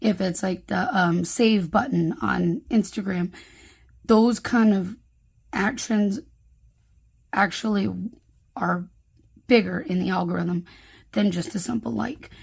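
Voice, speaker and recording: A woman's medium-pitched voice with vocal fry, a fairly slow pace, ordinary pitch variation and long, frequent pauses. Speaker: planner youtuber and sticker shop owner. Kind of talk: casual craft vlog. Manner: chatty with many fillers.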